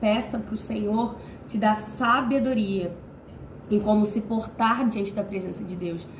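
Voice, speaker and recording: A woman with a fairly high pitch talks at a moderate pace while noticeable background noise plays. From Rio de Janeiro, Brazil. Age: 20s. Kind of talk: informal sermon to camera. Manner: casual, conversational.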